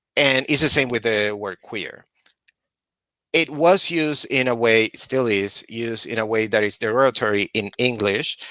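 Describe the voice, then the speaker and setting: On a very clean recording with a silent background, a man speaks with a Puerto Rican accent at a moderate pace. His medium-pitched voice is bright and sharp, with ordinary pitch variation and a dry, close sound with no echo. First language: Spanish. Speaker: social justice activist. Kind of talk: panel discussion.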